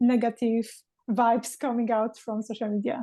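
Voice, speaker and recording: Over a quiet background, a speaker with a non-native accent talks in a dark, mellow tone. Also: woman. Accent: foreign accent in English. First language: Polish. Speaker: podcast host. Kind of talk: interview conversation.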